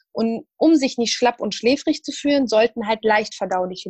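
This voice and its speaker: This woman's voice sits fairly high and moves at a moderate pace. The sound is dry and close, with no echo. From Syria. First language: Arabic (speaking German). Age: 30s. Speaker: nutrition student and expert. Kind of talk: interview. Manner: hesitant, many fillers.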